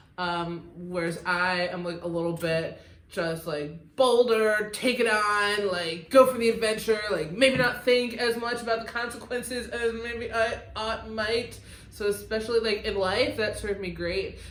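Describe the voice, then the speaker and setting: With an American accent, a woman talks at a fairly slow pace in a fairly high pitch, with ordinary pitch variation, hardly any pauses and audible room echo. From US Midwest, outside Detroit. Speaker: podcast co-host, record label co-owner. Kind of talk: casual chat.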